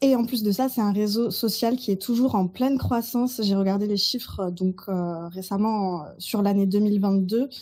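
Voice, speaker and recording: Speaking at a fairly slow pace with hardly any pauses, a woman uses a medium pitch, a dark, mellow tone, a somewhat breathy quality, fairly even intonation and very even loudness. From Burgundy, France. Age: 30s. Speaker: social media consultant. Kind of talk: podcast interview.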